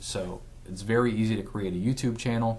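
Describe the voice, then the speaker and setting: Room echo can be heard around the voice. A man speaks at a moderate pace. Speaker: physical therapist giving marketing tips. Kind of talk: casual talk to camera. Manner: stutters, many fillers.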